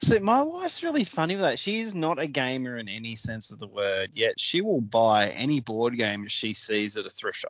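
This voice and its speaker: Pitch swinging very widely around a medium level, a man speaks at a moderate pace with an Australian accent. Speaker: podcast host. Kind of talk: casual chat.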